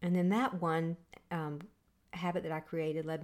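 In a normal speaking voice, a woman talks at a fairly quick pace with fairly low pitch and fairly even intonation. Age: 50s. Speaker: podcast host and results coach. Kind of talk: motivational talk.

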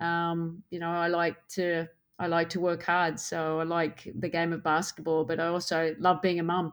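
A woman with an Australian accent, fairly low pitch and monotone, flat intonation at a moderate pace, on a very clean recording with a silent background. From Australia, Queensland. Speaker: basketball head coach. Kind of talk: interview.

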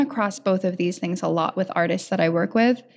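A woman speaks at a medium pitch. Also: very clean recording, silent background. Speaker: podcast host. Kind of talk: interview. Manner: enthusiastic.

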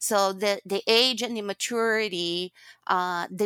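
A woman with a Brazilian accent speaks at a fairly slow pace, her medium pitch held in fairly even intonation and her tone bright and sharp. The sound is dry and close with no echo, a very clean recording with a silent background. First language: Portuguese. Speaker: guest, former HR executive. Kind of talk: casual interview conversation.

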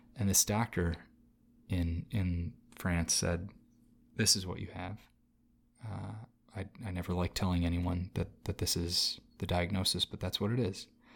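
A man's very deep, low voice with an American accent, somewhat breathy and fairly even in intonation, at a moderate pace with long, frequent pauses, on a very clean recording with a silent background. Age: 30s. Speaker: actor and comedian. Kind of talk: casual interview chat.

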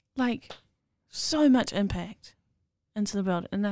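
A woman with a New Zealand accent speaks in a medium-pitched voice with a dark, mellow tone. Her intonation is lively. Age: 20s. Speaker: podcast guest. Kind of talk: casual chat.

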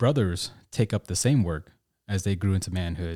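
The voice has a dark, mellow tone and ordinary pitch variation, with an American accent. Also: man, dry, close sound with no echo, very clean recording, silent background. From Oklahoma, US (Tulsa), Hmong American family. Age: 40s. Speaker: podcast co-host. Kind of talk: reflective personal conversation. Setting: studio.

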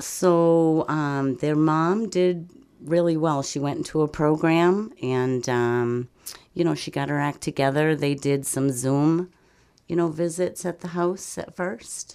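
This woman has a very deep, low voice and a dark, mellow tone. She talks at a very slow pace in a very clean recording with a silent background. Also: ordinary pitch variation. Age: 50s. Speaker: grandparent raising grandchildren. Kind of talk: interview.

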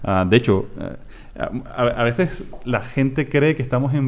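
The speaker is a man. He talks with a Latin American accent. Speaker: startup founder and CEO. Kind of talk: interview.

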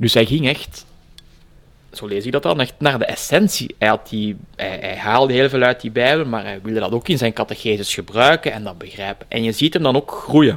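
A man with a Flemish accent, lively intonation and a moderate pace. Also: medium pitch for a man. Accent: Flemish Dutch. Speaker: project leader at a religious heritage centre and author. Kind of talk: interview. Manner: halting.

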